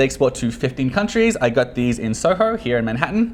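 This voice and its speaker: Talking at a very fast pace, a man with an American accent makes very wide pitch swings. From Australia. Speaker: product reviewer. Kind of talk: product review. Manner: casual, conversational.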